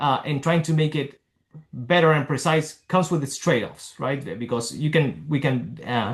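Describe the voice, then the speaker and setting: At a moderate pace, a man talks in a somewhat breathy voice, his pitch varying in an ordinary way. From Argentina. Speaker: neurologist. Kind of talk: lecture. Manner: halting.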